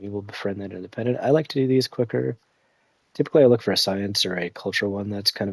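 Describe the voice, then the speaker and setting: Soft-spoken, a man talks at a fairly low pitch. His pitch varies in an ordinary way. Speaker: gaming streamer. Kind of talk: live gameplay commentary. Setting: at home, child napping. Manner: quiet, talking softly; casual, hesitant with fillers.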